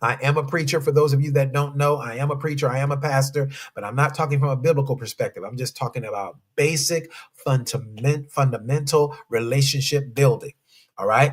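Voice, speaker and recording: Speaking at a fairly quick clip, a man with a fairly high pitch sounds animated and somewhat breathy. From South Central Los Angeles. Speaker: relationship coach and pastor. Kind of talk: live stream talk to viewers. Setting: live stream with chat.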